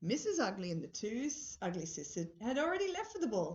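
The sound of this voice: The clip features an unforced reading voice. That voice carries the whole recording.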